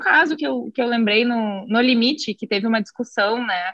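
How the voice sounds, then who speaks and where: The woman has an unremarkable speaking voice, fairly high in pitch with ordinary variation. The sound is dry and close, with no echo. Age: young. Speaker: tax lawyer. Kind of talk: casual interview. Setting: video call.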